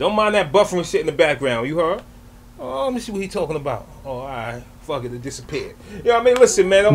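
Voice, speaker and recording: Over light background noise, a man talks very fast, his pitch swinging very widely. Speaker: reaction video creator. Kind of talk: casual reaction commentary and outro.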